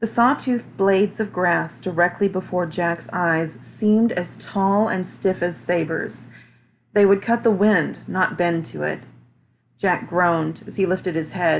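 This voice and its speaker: With a fairly low pitch and vocal fry, a woman speaks at a fairly slow pace. Her intonation is lively. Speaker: amateur reader. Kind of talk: audiobook reading.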